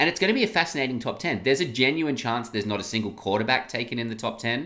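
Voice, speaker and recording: A man with an Australian accent, medium pitch and a bright, sharp tone. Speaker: sports podcast host. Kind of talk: casual sports discussion.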